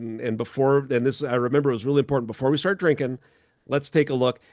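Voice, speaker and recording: Against a quiet background, a man speaks with an Upper Midwest accent. His pitch sits fairly high. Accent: Upper Midwest American. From North Dakota (New Salem). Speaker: podcast host and producer. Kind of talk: casual chat.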